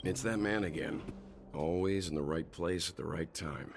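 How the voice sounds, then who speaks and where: A man puts on a raspy character voice, very deep and low, speaking in a calm tone at a moderate pace over clear background noise. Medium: video game. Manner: measured, calm.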